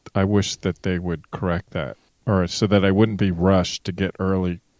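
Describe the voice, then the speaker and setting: A man speaks with a very deep, low pitch and a flat, monotone delivery. The sound is dry and close with no echo, and the recording is very clean over a silent background. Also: moderate pace. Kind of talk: casual podcast conversation.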